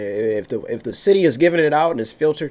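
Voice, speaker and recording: A man with an American accent talks very fast, his intonation lively. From Youngstown, Ohio, US Midwest; Ohio. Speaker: talk radio host. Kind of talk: news commentary. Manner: halting, repetitive. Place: studio. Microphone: studio mic.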